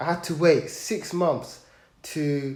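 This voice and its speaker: A man speaks in a somewhat breathy voice. Room echo is audible. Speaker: podcast guest. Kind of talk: personal testimony. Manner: halting, with repeated sounds.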